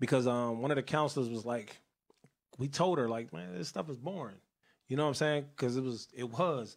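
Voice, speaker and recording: A man with an American accent speaks in a normal speaking voice at a medium pitch and a fairly quick pace, with ordinary pitch variation, on a very clean recording with a silent background. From Northern Virginia (Woodbridge area). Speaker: youth outreach organizer and internet radio host. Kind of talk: casual interview.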